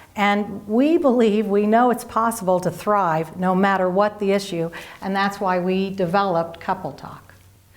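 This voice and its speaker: A woman in a Philadelphia accent talks at a moderate pace with ordinary pitch variation. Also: medium pitch for a woman. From Philadelphia, US East Coast. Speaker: marriage educator. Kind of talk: scripted presentation.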